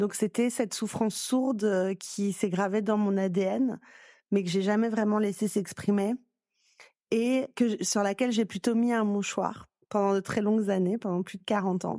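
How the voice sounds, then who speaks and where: At a fairly slow pace, a woman with a medium pitch and a dark, mellow tone speaks with fairly even intonation, recorded dry and close with no echo against a quiet background. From southern France. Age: 40s. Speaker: lawyer and activist. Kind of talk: testimony.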